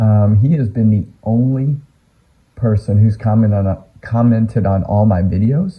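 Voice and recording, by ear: A raspy man's voice with a slightly husky edge, fairly low in pitch, at a fairly slow pace with ordinary pitch variation.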